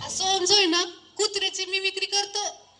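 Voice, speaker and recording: A woman puts on a squeaky character voice at an extremely high pitch, talking at a moderate pace with monotone, flat intonation. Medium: comedy sketch. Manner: eager, rustic, mispronouncing.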